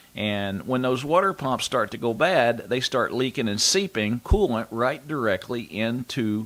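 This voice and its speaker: A man talks at a medium pitch with lively intonation. His is a plain, everyday voice. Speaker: master mechanic, radio show host. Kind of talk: radio call-in show monologue giving car advice. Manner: conversational, explanatory.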